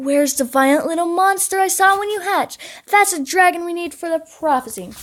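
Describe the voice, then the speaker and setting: A woman's put-on character voice, hissing, extremely high-pitched, at a fairly quick pace. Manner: hissing, menacing.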